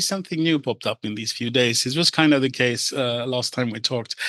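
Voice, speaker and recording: A man speaks with a Scandinavian accent at a medium pitch, his tone bright and sharp. The sound is dry and close with no echo, and his pitch varies in an ordinary way. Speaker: render expert and AI experimenter. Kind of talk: casual interview chat. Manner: animated.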